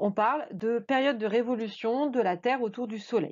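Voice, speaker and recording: Here a woman speaks in a fairly high pitch. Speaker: math teacher. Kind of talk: tutorial. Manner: hesitant with frequent fillers.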